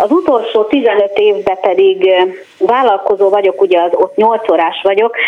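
A woman talks at a fairly slow pace with very wide pitch swings. Noticeable background noise is present. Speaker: beauty industry worker, caller. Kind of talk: phone-in question.

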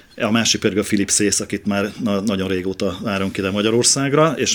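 Using a plain, everyday voice, a man speaks at a fairly quick pace with fairly low pitch and ordinary pitch variation. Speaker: bass guitarist and festival organizer. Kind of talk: radio interview.

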